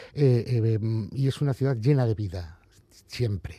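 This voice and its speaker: His voice has a dark, mellow quality. This man sounds somewhat breathy. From Spain, Galicia. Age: 40s. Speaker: comic book author. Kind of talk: interview. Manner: halting, many repetitions.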